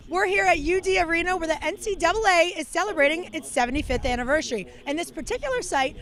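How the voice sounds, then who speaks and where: There is noticeable background noise as a woman talks. She goes at a very fast pace with lively intonation. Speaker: sports reporter. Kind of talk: sports news report.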